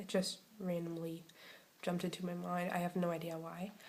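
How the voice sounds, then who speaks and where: A woman with a fairly low pitch and a somewhat breathy voice speaks with audible room echo. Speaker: video blogger. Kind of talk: casual vlog talk. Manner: hesitant, many fillers.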